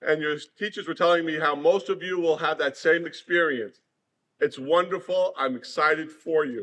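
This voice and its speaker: Loud and fairly quick, a man with an American accent talks in a high pitch with ordinary pitch variation and a bright, sharp tone. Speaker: former student speaking at a school. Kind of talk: speech to schoolchildren. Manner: loud, projecting.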